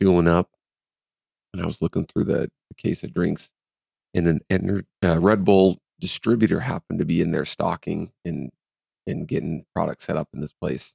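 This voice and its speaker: The sound is dry and close, with no echo. A man speaks at a very deep, low pitch with ordinary pitch variation and vocal fry. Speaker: podcast co-host. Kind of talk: casual chat.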